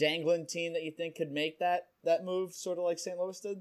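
The speaker has a New Jersey accent. The intonation stays flat and monotone. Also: man. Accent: New Jersey American. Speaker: podcast host. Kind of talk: casual interview.

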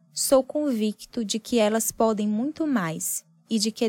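A woman speaks with a fairly high pitch at a fairly slow pace. Hers is a plain, everyday voice. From Piauí semi-arid, northeastern Brazil. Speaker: journalist. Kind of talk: personal essay narration.

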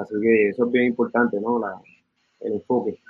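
A man at medium pitch and a fairly quick pace. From Puerto Rico. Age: 50s. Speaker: musician and music educator. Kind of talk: interview.

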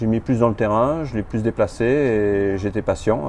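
Against noticeable background noise, a man with a fairly low pitch speaks at a fairly slow pace. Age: 50s. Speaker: amateur tennis player. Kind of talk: casual interview. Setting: in person.

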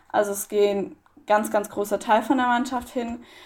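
A woman speaks in a normal speaking voice with a fairly high pitch. She keeps a moderate pace and fairly even intonation. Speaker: para athlete. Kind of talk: interview.

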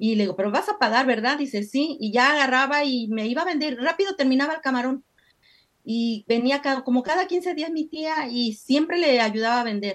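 A woman with a high pitch speaks at a moderate pace using lively intonation. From Mexico. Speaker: candle-making entrepreneur. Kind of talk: interview.

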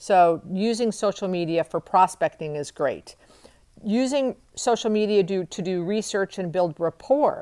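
A woman with a medium pitch talks at a fairly slow pace in an energetic tone, with ordinary pitch variation. The sound is dry and close with no echo, on a very clean recording with a silent background. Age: 50s. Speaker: podcast host and retail leasing coach. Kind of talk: solo podcast monologue.

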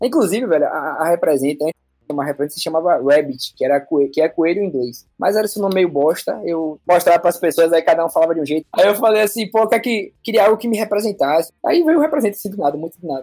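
With hardly any pauses, a man rattles along at a very fast pace, his high pitch carrying lively intonation and a dark, mellow tone. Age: 20s. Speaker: entrepreneur and designer. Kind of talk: casual interview.

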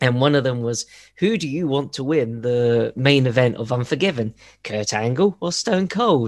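Using an ordinary speaking voice, a man talks at a medium pitch with ordinary pitch variation. His pace is fairly slow. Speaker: podcast co-host. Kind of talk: casual chat. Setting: video call.

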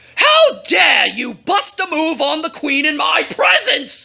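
Someone puts on a character voice, raised to a shout, with a bright, sharp tone and vocal fry. The pace is slow, and the pitch swings are big.

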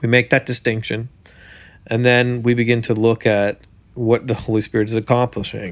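Over a silent background in a very clean recording, a man speaks at a medium pitch with a Canadian accent. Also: moderate pace. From Canada. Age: 30s. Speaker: preacher and songwriter. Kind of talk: interview. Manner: animated.

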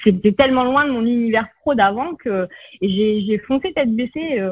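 A woman speaks in an ordinary speaking voice, fairly high in pitch. Her intonation is lively. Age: 40s. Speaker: naturopath. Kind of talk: interview.

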